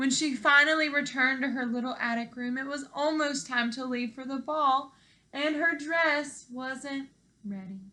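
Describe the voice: A woman talks at a fairly slow pace. Her voice is high-pitched, with a bright, sharp tone.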